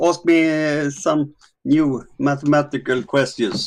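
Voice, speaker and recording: Speaking at a very slow pace with a Swedish accent, the voice keeps a fairly even intonation in a very clean recording with a silent background. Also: man. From Sweden. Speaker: discord chat participant. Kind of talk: casual chat. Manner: halting.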